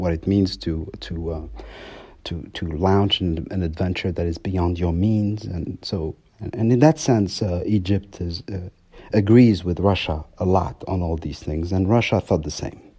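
A man's very deep, low voice, dark and mellow in tone and somewhat breathy, at a moderate pace with ordinary pitch variation. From France. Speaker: research fellow on Libya. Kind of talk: interview. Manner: halting, many fillers.

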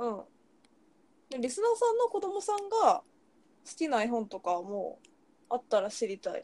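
Her tone dark and mellow, a woman speaks high in pitch at a moderate pace, with very wide pitch swings and long, frequent pauses. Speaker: podcast co-host. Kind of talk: casual chat. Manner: relaxed, laid-back.

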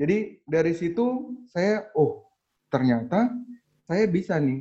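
Lively intonation marks this man's speech. His voice is high-pitched. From East Nusa Tenggara, Indonesia. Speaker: young doctor and tutoring business founder. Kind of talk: casual interview.

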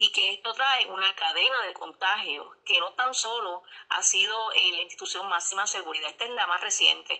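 Her voice is a plain, everyday voice: a woman at medium pitch and moderate pace with ordinary pitch variation and hardly any pauses. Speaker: corrections officers' union leader. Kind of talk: news interview.

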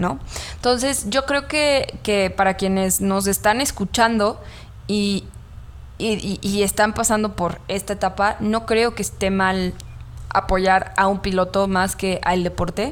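Very slow speech from a woman, medium in pitch, its pitch variation ordinary. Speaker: podcast co-host. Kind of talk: casual chat.

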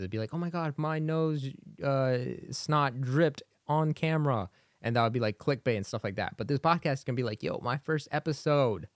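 On a very clean recording with a silent background, a man with an ordinary speaking voice speaks at a fairly quick pace with ordinary pitch variation. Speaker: podcaster and streamer. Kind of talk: casual solo podcast, unscripted. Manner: casual, rambling, filler words; informal, upbeat.

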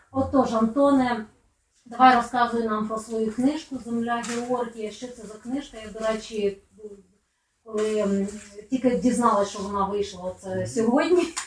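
A woman talks at a fairly slow pace and a fairly high pitch. Her loudness swings a lot while her pitch varies in an ordinary way. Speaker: writer moderating a book presentation. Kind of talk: moderated book event. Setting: bookstore event with live audience, no microphone. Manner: chatty.

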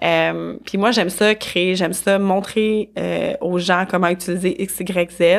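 With fairly even intonation, a woman speaks at medium pitch. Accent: Quebec. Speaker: business organization consultant. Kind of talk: casual interview. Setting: studio.

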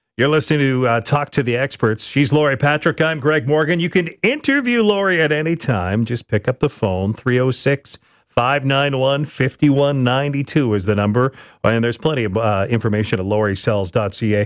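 On a very clean recording with a silent background, a man with an unremarkable speaking voice and medium pitch talks at a moderate pace, his intonation lively and his loudness very even. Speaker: radio host. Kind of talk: radio host patter, friendly show intros and segment links. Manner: warm, upbeat, smooth.

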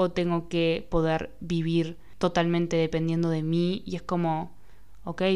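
A woman talks at a fairly slow pace in a dark, mellow tone. Her intonation stays monotone and flat. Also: fairly low pitch for a woman. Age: 20s. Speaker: podcast host. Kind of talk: casual monologue.

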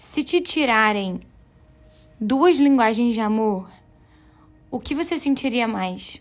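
A woman speaks at a very slow pace with long, frequent pauses. Her fairly high voice has lively intonation. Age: 20s. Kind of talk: devotional teaching talk. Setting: home bedroom. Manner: casual, conversational.

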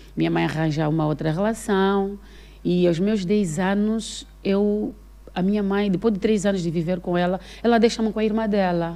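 At a moderate pace, the speaker uses an ordinary speaking voice with fairly even intonation. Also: woman, medium pitch for a woman. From Angola, Benguela province. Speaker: actress and comedian. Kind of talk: casual chat.

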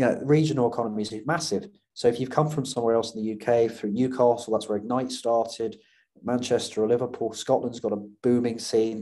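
With a British accent, a man speaks at a fairly quick pace in a medium-pitched voice of dark, mellow tone, his intonation fairly even over a quiet background. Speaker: startup founder. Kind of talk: casual interview. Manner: fast talker.

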